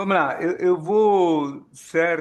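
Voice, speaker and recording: A man is speaking. His pace is very slow. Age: 60s. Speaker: economist. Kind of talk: expert talk at a meeting. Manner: hesitant, many fillers.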